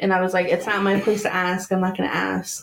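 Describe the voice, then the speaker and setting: A woman talks at a very fast pace. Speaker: early childhood educator. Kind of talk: casual chat. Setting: studio.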